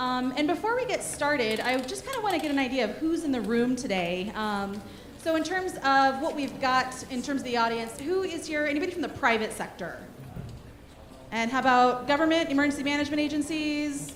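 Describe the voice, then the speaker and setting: Loud, fairly quick speech with lively intonation, audible room echo and noticeable background noise. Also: woman, high pitch for a woman. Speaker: workshop presenter for a disaster relief organization. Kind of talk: conference workshop presentation. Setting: conference room with audience, handheld mic.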